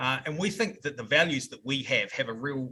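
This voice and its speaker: A man's fairly quick speech in a New Zealand accent. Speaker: software company representative. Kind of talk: podcast interview answer.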